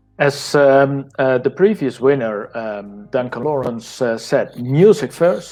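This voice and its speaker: Speaking at a very slow pace with hardly any pauses, the man has lively intonation. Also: medium pitch for a man. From Netherlands. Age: old. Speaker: former music journalist. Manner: halting.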